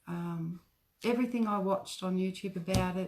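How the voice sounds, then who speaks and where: A woman with an Australian accent speaks in a soft-spoken way. Her pitch sits in the medium range. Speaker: craft shop owner. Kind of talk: craft tutorial livestream. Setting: facebook live video. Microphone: too quiet.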